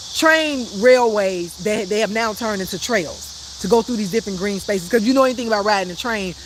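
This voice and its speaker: Noticeable background noise accompanies speech at a very fast pace. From Chicago, South Side. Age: 50s. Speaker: life coach. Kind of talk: live stream talk. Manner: casual, chatty.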